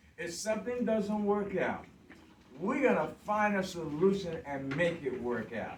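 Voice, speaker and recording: Lively intonation carries a fairly slow delivery, with audible room echo and noticeable background noise. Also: man, high pitch for a man. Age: 60s. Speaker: construction worker visiting a school class. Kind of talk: classroom talk with questions from children. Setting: second grade classroom.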